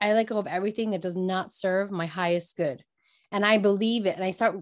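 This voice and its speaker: A woman speaks at a medium pitch in an animated tone. The background is quiet. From New York, Brooklyn (Puerto Rican family). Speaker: actor and shamanic coach. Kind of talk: casual interview.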